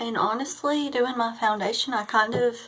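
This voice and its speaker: A woman speaks in an ordinary speaking voice at a fairly high pitch. Her pace is moderate, and her pitch variation is ordinary. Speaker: beauty vlogger. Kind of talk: casual tutorial chat.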